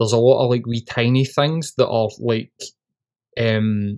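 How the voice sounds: At a fairly slow pace, a man with a medium pitch talks with fairly even intonation and a slightly mellow tone.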